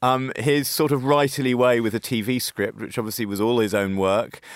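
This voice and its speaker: With a British accent, a man speaks at a moderate pace with ordinary pitch variation, the sound dry and close with no echo. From UK. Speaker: magazine editor. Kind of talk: radio discussion.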